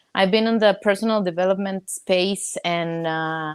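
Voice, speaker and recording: A woman with a Spanish accent and medium pitch speaks at a fairly slow pace with fairly even intonation. The recording is very clean, with a silent background. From Mexico. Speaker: network marketer, coaching client. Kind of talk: coaching session conversation.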